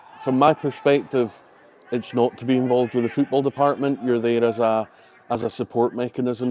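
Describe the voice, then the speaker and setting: A man with a Highland Scottish accent talks at a fairly quick pace in a flat monotone at medium pitch. His dark, mellow tone sounds dry and close, with no echo. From Scottish Highlands. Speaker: football club general manager. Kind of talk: interview.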